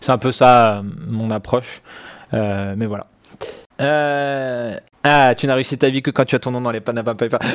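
Pausing long and often, a man talks at a fairly slow pace in a medium pitch with fairly even intonation. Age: 20s. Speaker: tech journalist hosting a livestream. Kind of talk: casual live stream chat with viewers. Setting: live stream studio setup. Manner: hesitant, many fillers and repetitions.

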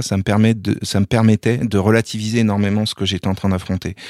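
The dry, close recording with no echo captures a man speaking at a fairly low pitch. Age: 40s. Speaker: sports journalist and rugby commentator. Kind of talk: interview testimony. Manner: halting, frequent repetitions.

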